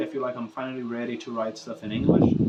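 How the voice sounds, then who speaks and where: A man talks with a Portuguese accent. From Brazil. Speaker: musician and vlogger. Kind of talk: casual vlog monologue to camera. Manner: unscripted, casual with fillers.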